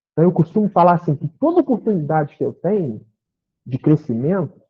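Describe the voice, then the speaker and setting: Here a man speaks in an animated tone. His intonation is lively. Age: 60s. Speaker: spiritist lecturer. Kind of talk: spiritist talk. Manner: conversational, animated.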